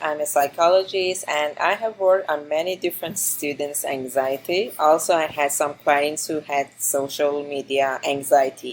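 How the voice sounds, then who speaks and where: A woman with a plain, everyday voice, ordinary pitch variation and a moderate pace. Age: 30s. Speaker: psychologist and graduate student podcast co-host. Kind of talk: student podcast discussion.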